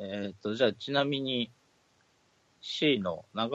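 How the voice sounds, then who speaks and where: A man with vocal fry, medium pitch, and a moderate pace. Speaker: podcast co-host. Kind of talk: casual chat.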